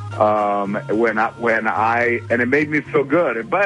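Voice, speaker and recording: A man's relaxed, medium-pitched voice with music playing in the background. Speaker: comedian and actor. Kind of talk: radio phone interview answer. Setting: phone line. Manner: relaxed, conversational.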